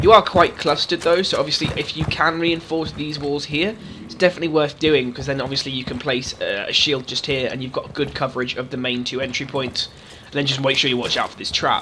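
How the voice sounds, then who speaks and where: Over noticeable background noise, a man talks at a very fast pace in a fairly high pitch, with ordinary pitch variation and big swings in loudness. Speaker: gaming YouTuber. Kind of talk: game tutorial commentary. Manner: casual.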